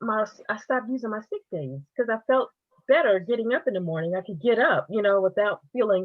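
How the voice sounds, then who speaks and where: Speaking at a fairly quick pace, a woman uses an ordinary speaking voice with a fairly high pitch and lively intonation. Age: 50s. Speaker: direct sales distributor. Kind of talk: testimony.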